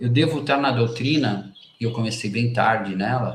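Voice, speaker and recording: A man's medium-pitched voice at a fairly slow pace, with ordinary pitch variation and audible room echo. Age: 50s. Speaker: spiritist book reader and commentator. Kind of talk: reading aloud with commentary. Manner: halting, many false starts.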